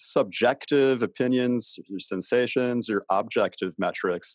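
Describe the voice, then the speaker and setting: A man speaks at a fairly slow pace with hardly any pauses, in a medium pitch and an ordinary speaking voice. The sound is dry and close with no echo, over a quiet background. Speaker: podcast host. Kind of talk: interview conversation. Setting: video call.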